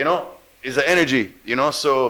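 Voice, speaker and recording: The man's tone is bright and sharp, his pace moderate, and his pitch varies in an ordinary way. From Jamaica. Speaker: actor and radio host. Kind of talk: interview.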